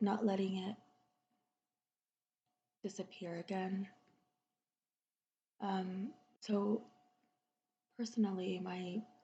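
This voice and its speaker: A woman whispers, soft-spoken and somewhat breathy. She goes at a very slow pace with long, frequent pauses. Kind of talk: ASMR soft-spoken chat. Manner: soft-spoken, whispery.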